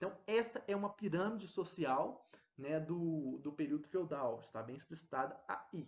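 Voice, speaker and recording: Lively intonation runs through this man's high-pitched voice. He speaks at a fairly slow pace. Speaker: teacher. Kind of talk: lecture.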